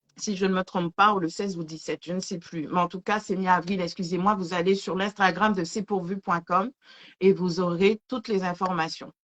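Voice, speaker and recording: A woman's medium-pitched voice in a monotone, flat intonation, with a dry, close sound and no echo. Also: moderate pace. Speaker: live show host. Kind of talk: live stream chat with promotions. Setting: online video live stream. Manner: stammering.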